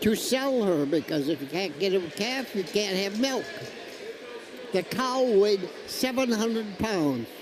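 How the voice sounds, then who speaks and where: Over noticeable background noise, a man with an American accent speaks at a high pitch with lively intonation. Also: fairly slow pace. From United States, rural farm upbringing. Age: 80s+. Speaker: war veteran. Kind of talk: interview answer.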